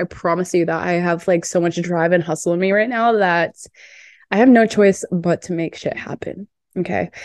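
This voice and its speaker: A woman speaks at a medium pitch in a plain, everyday voice. Her intonation stays fairly even. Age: 20s. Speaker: podcast host and dating coach. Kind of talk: casual monologue.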